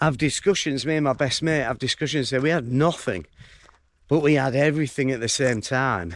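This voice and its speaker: In a Yorkshire accent, a man speaks at medium pitch with ordinary pitch variation. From northern England, York. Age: 40s. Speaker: vlogger. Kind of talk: casual vlog monologue while walking. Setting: outdoors, walking in fields.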